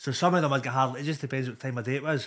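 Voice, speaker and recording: A man speaks in a Glasgow accent. His intonation is fairly even. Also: very clean recording, silent background. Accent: Scottish (Glasgow area). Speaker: comedian. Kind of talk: casual chat.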